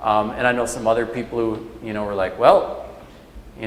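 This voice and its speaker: A man with an American accent talks fairly quickly at a medium pitch in a flat monotone. There is noticeable background noise and audible room echo. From Minnesota, Leech Lake. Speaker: lecturer. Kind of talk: lecture Q&A. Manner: casual, many fillers.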